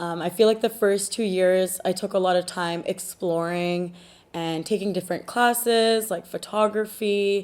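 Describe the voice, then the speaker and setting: On a very clean recording with a silent background, a woman with a Canadian accent speaks in a plain, everyday voice at medium pitch, fairly slow, with fairly even intonation. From Canada, Punjabi family. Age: 20s. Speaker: art student. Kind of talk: interview answers.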